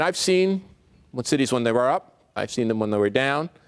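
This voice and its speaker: Speaking with a New Jersey accent, a man is heard on a very clean recording with a silent background. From New Jersey, Newark. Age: 60s. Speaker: urban studies author. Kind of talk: keynote speech.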